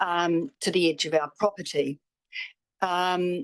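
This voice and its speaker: A woman with a New Zealand accent, the sound dry and close with no echo. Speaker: public forum speaker, property owner. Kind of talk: public submission to council. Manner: halting.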